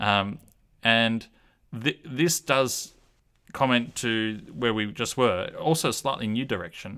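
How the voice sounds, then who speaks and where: In an Australian accent, a man speaks at a very slow pace with long, frequent pauses, a medium pitch with ordinary variation, and a bright, sharp tone, on a very clean recording with a silent background. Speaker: podcast host. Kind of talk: casual discussion of a Bible study lesson. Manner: hesitant, with fillers.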